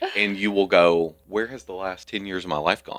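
A man with a Southern US accent talks at a moderate pace in a monotone, flat voice with a bright, sharp tone. The recording is very clean, with a silent background. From US South. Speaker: nonprofit community leader. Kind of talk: interview.

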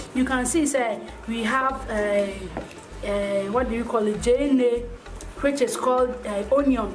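A woman with a high pitch, at a fairly slow pace and with ordinary pitch variation, over faint music in the background. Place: garden.

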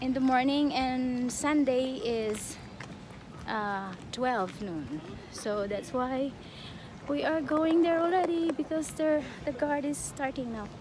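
A woman speaks at a high pitch and a very slow pace, with noticeable background noise and a dry sound that has no echo. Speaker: travel vlogger. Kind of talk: casual vlog chat. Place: garden. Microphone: phone near.

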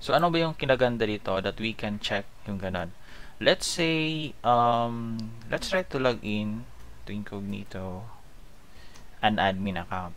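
An unremarkable speaking voice, a man's fairly low pitch with lively intonation at a fairly slow pace. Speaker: programming tutorial instructor. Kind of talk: screen-recorded coding tutorial. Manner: casual, with frequent fillers (um, okay).

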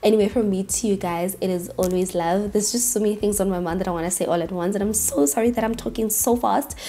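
A woman's dark, mellow voice at medium pitch, fast-paced, with fairly even intonation

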